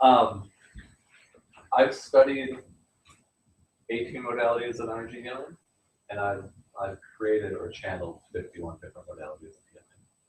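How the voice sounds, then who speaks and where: A man's voice with big swings in loudness and long, frequent pauses. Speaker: energy healing teacher. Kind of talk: online workshop. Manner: fast.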